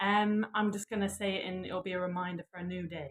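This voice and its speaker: A woman talks in a Lancashire accent. Her pitch sits in the medium range. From northern England, Blackpool. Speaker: yoga and manifestation teacher. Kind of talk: live guided session.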